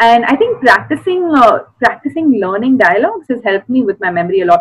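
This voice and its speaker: A high-pitched woman with an Indian accent, a fairly quick pace and lively intonation. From South India. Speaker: actress and special educator. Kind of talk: casual interview chat. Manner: animated, laughs often.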